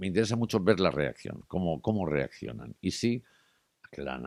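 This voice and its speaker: A man talks at a fairly quick pace in a dark, mellow tone with vocal fry and very wide pitch swings. The sound is dry and close, with no echo. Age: 60s. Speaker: journalist and TV presenter. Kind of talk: interview conversation.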